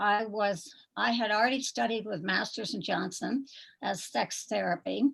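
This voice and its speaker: With vocal fry, a woman speaks at a moderate pace in a medium pitch. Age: 70s. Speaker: nurse and pelvic therapist. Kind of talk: interview. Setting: video call.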